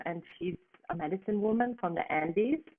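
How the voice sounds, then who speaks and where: A woman with a German accent. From northern Italy, German-speaking region near Austria. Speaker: plant medicine practitioner. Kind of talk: interview. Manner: soft.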